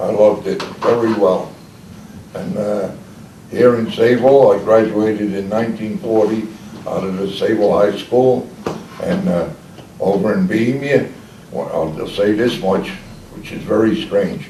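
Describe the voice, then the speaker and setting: Over noticeable background noise and with audible room echo, a man with a fairly low pitch talks at a fairly slow pace with ordinary pitch variation and long, frequent pauses. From Long Island, New York. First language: Czech. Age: 80s+. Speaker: retired commercial fisherman. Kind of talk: oral history interview. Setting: library group session. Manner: halting.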